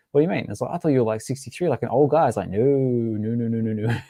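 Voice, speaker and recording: In an Australian accent, a man with a dark, mellow voice at medium pitch talks at a very fast pace with ordinary pitch variation over a quiet background. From Western Australia, Albany. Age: 30s. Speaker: NFT collector and podcaster. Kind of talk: casual chat. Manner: halting, many repeated words.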